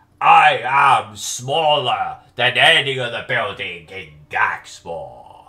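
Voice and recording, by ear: The pace is very slow. A man delivers the words in a put-on character voice.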